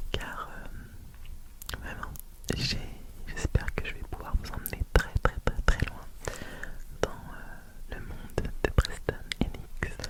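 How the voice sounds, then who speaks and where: A man is whispering at a very slow pace. His loudness swings widely, and there is noticeable background noise. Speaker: ASMR content creator. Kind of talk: whispered ASMR Q&A talking to camera. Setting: home studio with a close microphone. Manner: whispered, soft-spoken.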